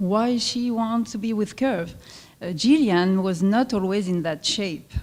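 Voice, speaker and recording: A woman with a French accent speaks at a fairly slow pace with ordinary pitch variation. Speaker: fitness club owner. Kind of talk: presentation at luncheon. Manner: halting.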